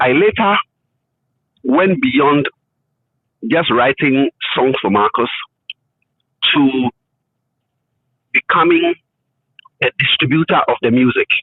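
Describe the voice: A man with a medium pitch and a slightly husky edge, slow pace, very wide pitch swings, long and frequent pauses, and a dry, close sound with no echo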